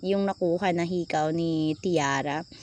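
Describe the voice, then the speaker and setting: A woman's voice comes across with an animated tone. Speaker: vlogger. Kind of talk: vlog narration. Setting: shopping mall. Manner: loud.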